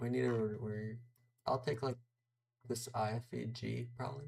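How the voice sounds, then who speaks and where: A man with an American accent speaks at medium pitch and a moderate pace, somewhat breathy and monotone with flat intonation. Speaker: day trader streamer. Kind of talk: live trading commentary.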